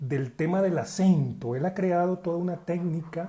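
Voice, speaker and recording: A man's voice with a dark, mellow tone. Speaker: acting school director. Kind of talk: interview host introduction.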